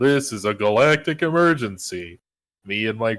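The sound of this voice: The background stays quiet while an unforced reading voice carries lively intonation.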